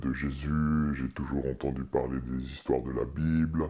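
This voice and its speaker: Against a quiet background, a man with a very deep, low pitch and a dark, mellow tone speaks at a very slow pace. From eastern France. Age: 40s. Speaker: pastor. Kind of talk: testimony. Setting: studio. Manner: halting.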